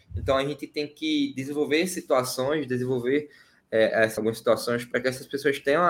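Pitch moves with ordinary variation. The pace is moderate. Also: man. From Pernambuco, Brazil. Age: 20s. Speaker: political activist and student. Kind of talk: casual interview. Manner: hesitant, repeats words.

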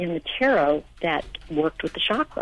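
Here is a woman with an American accent and an unremarkable speaking voice. She speaks at a fairly slow pace. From New York. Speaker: spiritual teacher and author. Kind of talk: radio interview.

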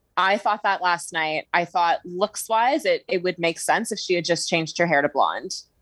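A woman with a Canadian accent talks in an unremarkable speaking voice, fairly low in pitch with ordinary pitch variation. She keeps a moderate pace with hardly any pauses, and the sound is dry and close with no echo. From Ontario, Canada. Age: 30s. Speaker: TV podcast guest. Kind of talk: casual chat.

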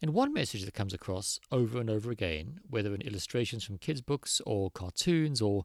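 Recorded very cleanly against a silent background, with a dry, close sound and no echo, a man uses a plain, everyday voice of medium pitch, talking at a fairly quick pace with lively intonation. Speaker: podcast host. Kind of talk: science explainer monologue.

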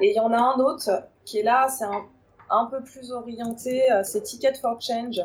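A woman's voice sits high in pitch. She speaks at a fairly slow pace. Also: ordinary pitch variation. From Paris region, France. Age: 30s. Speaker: recruiter. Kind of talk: interview.

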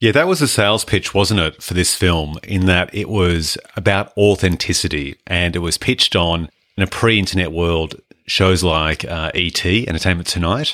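A man with an Australian accent speaks in a very deep, low voice with a bright, sharp tone, recorded very cleanly against a silent background. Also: ordinary pitch variation, moderate pace. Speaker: film podcast host. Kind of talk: casual chat.

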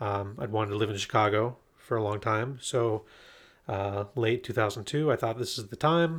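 On a very clean recording with a silent background, a man uses a normal speaking voice at medium pitch, with ordinary pitch variation and a moderate pace. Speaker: remote work expert, guest. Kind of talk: casual interview chat. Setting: recording in person, shared microphone.

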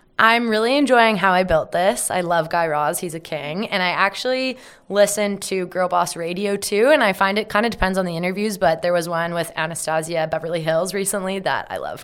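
Speaking at a fairly quick pace with hardly any pauses, a woman with an Ontario accent uses a medium pitch and ordinary pitch variation in a very clean recording with a silent background. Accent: Canadian (Ontario). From Ontario, Canada (Carlisle, near Hamilton). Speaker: media company co-founder. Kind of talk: interview. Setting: studio in Toronto.

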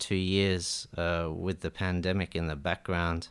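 A man talks at a fairly slow pace with an Australian accent. His pitch is very deep and low. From Iran, raised in Melbourne. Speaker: jazz saxophonist and composer. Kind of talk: radio interview, casual chat. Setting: radio studio. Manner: warm, polite, thoughtful.

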